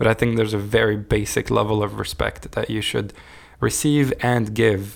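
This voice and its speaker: A man speaks with a French accent. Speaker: podcast host. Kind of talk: casual chat.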